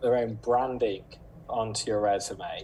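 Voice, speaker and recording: At a fairly slow pace, a man with a British accent speaks at a medium pitch with ordinary pitch variation over light background noise. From Britain. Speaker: recruiter. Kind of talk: webinar talk giving tips. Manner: casual with filler words. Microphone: video call.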